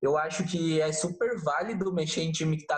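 A man speaking at a fairly slow pace. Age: 20s. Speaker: graphic designer and marketer. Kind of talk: interview. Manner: casual, hesitant with fillers.

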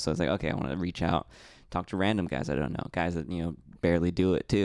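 Over a silent background in a very clean recording, a man with a very deep, low pitch talks at a very fast pace with ordinary pitch variation. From Mexican-American background. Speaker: stand-up comedian. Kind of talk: casual chat. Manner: reserved, subtle.

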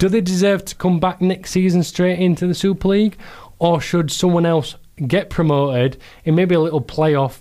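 A man with a Yorkshire accent, high pitch, a dark, mellow tone, and fairly even intonation in a very clean recording with a silent background. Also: moderate pace. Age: 20s. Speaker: hospital radio sports host. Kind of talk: casual chat. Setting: studio.

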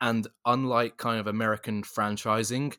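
On a very clean recording with a silent background and a dry, close sound with no echo, a man with a British accent talks at a fairly slow pace and medium pitch, in a monotone, flat intonation with a bright, sharp tone. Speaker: podcast host. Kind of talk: casual chat.

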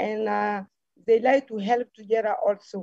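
Speaking at a fairly slow pace, a woman with a fairly high pitch and a dark, mellow tone keeps her intonation fairly even in a dry, close sound with no echo. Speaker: economics student. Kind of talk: video call interview. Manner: halting.

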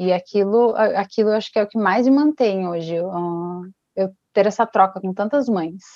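With a plain, everyday voice, a woman speaks at a moderate pace and medium pitch, showing ordinary pitch variation. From Brazil, Paraná (Ponta Grossa). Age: 20s. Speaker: fashion designer and artisan, single mother. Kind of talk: casual interview.

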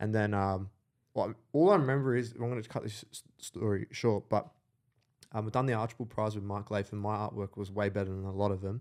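A man with an Australian accent talks at a fairly quick pace, fairly low in pitch, with fairly even intonation. The recording is very clean, with a silent background. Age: 20s. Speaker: entrepreneur. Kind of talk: casual chat.

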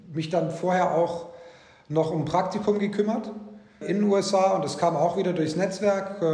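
A man with a high pitch and fairly even intonation is heard amid audible room echo and noticeable background noise. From Egypt (German school in Cairo), early childhood Bavarian Swabia. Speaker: corporate lawyer. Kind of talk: interview. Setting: video call.

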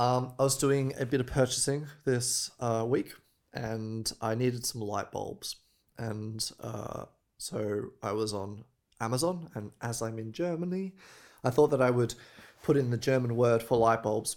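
Recorded very cleanly against a silent background, a man with an Australian accent speaks fairly slowly at a medium pitch with ordinary pitch variation. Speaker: podcast co-host. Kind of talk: casual chat.

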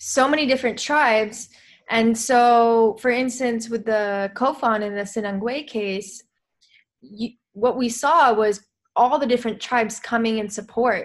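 Against a quiet background, a woman with an American accent talks at a fairly slow pace in an unremarkable speaking voice, pitched fairly high, with fairly even intonation. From US, New Mexico. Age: 20s. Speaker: filmmaker and activist. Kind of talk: casual interview.

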